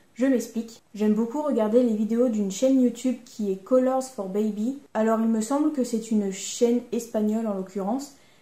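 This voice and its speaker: Speaking at a moderate pace with hardly any pauses, a woman with a fairly high pitch and a dark, mellow tone keeps her intonation fairly even amid audible room echo. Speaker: sewing YouTuber. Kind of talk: casual vlog talk. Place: home room.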